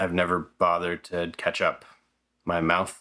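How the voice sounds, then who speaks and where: A man mumbles in a bright, sharp tone in a very clean recording with a silent background. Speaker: filmmaker YouTuber. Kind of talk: casual vlog monologue. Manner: mumbly, mispronounces words; halting, many fillers and restarts.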